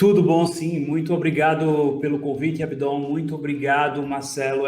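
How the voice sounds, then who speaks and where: A fairly high-pitched man's voice with monotone, flat intonation, in a Pernambuco accent. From Brazil, Pernambuco interior. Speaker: financial market trader, platform founder. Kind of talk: podcast interview.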